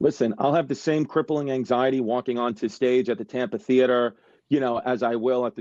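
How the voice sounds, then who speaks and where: A man in a New York accent talks fairly quickly at medium pitch, the sound dry and close with no echo. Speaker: stand-up comedian. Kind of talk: casual interview chat. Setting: video call from home. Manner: animated, fast. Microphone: smudgy iPhone.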